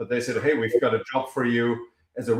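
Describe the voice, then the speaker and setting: Here a man speaks with a German accent at a medium pitch. His intonation is lively. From Germany, small town. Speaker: energy company founder and CEO. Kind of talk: podcast interview.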